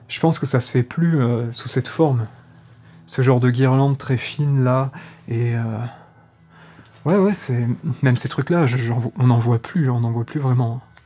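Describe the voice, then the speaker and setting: Fairly slow and full of long, frequent pauses, a man speaks in a dark, mellow, somewhat breathy tone with ordinary pitch variation. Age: 30s. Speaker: urban explorer YouTuber. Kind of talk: vlog narration while exploring. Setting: outdoors and abandoned house. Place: home room. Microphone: phone near.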